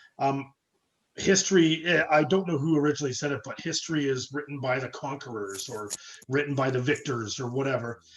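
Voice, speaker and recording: A man's fairly high voice with a Canadian accent, at a fairly quick pace with ordinary pitch variation. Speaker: church study participant. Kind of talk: group discussion. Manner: loud.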